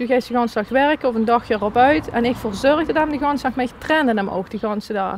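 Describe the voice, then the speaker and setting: A woman with a Limburg accent, fairly high-pitched and fairly quick, with ordinary pitch variation amid noticeable background noise. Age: 30s. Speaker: dog coach. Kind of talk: interview answer.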